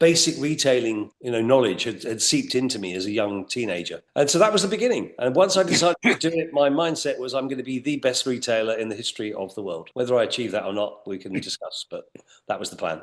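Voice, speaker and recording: A man with an English accent and medium pitch talks at a very fast pace, with very wide pitch swings and hardly any pauses. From England. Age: 60s. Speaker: retail executive. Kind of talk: interview.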